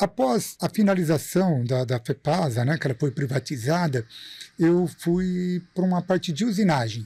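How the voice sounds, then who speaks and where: A dark, mellow tone with lively intonation and very even loudness moves at a fairly slow pace over a very clean recording with a silent background. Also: man, fairly high pitch for a man. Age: 50s. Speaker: industrial maintenance engineer and teacher. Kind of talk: podcast interview.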